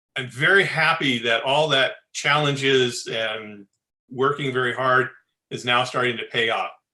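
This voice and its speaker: Loud and bright with a sharp tone, a man speaks at a medium pitch and a fairly slow pace, his pitch varying in an ordinary way. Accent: American. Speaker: space architect. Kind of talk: Q&A answer at online talk. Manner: animated.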